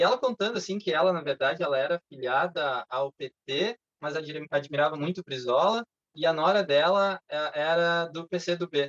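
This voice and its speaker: A man with an unremarkable speaking voice talks at a fairly slow pace in a fairly high pitch with ordinary pitch variation. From southern Brazil (Canela, Rio Grande do Sul). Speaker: chemical engineer. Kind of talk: casual chat.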